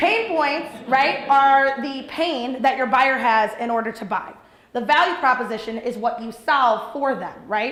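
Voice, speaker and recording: A woman speaks loudly at a high pitch, with audible room echo and noticeable background noise. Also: ordinary pitch variation. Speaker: entrepreneur and business coach. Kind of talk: workshop talk. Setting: training program with live audience. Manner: fast.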